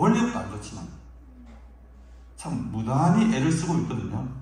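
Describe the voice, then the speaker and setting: Through noticeable background noise and audible room echo, a man speaks at a moderate pace and fairly high pitch with very wide pitch swings. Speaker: pastor. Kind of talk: sermon. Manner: forceful.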